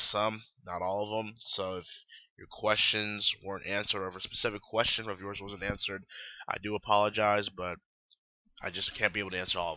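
A man at a fairly low pitch, very fast and monotone with flat intonation, with big swings in loudness. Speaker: online wrestling show host. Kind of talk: casual Q&A newscast. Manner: casual, halting with fillers.

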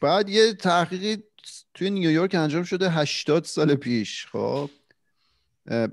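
The pace of the speech is moderate. The background is quiet. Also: man. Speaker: podcast co-host. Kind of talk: casual chat. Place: home room. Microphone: studio mic.

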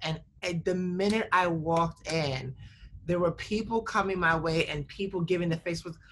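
Against light background noise, a woman with a normal speaking voice talks at a moderate pace, her fairly low pitch held in fairly even intonation. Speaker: nonprofit director and activist; guest. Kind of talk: casual chat. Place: home room. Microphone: video call.

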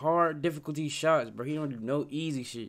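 A man speaks at a moderate pace with a fairly high pitch and ordinary pitch variation. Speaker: YouTube reaction creator. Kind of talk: casual reaction video banter. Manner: laid-back, energetic, slangy. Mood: animated, exasperated. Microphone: headset.

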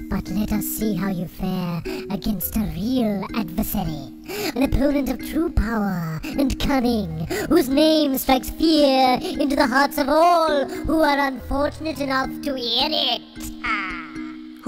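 A female-sounding voice, fairly high-pitched and theatrical, at a fairly slow pace over clear background noise. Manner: boastful, theatrical.

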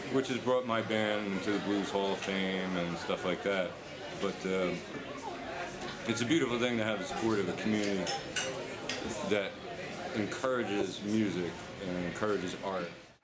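Over loud background noise, a man talks with long, frequent pauses. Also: moderate pace. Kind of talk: interview answer. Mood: warm, appreciative. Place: garden.

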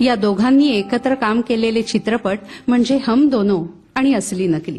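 A woman at a fairly high pitch, with ordinary pitch variation and very even loudness. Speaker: voice-over artist. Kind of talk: music show commentary narration. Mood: warm, expressive. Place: stage. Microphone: handheld.

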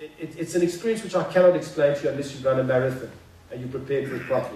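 A man with ordinary pitch variation amid audible room echo. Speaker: conference speaker. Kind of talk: motivational talk, storytelling. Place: hall. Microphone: camera far.

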